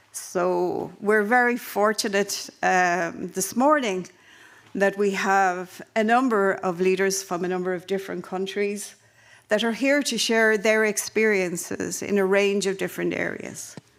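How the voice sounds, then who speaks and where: A woman's medium-pitched voice with an Irish accent, fairly even intonation and a fairly slow pace. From Ireland. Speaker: panel chair at a conference. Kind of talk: conference panel introduction. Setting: conference in Helsinki.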